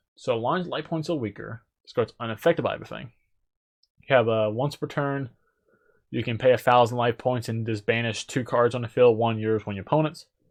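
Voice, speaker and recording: Against a quiet background, a man mumbles at a fairly quick pace with ordinary pitch variation. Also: medium pitch for a man. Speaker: gaming YouTuber. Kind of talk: card set review. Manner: mumbling; casual.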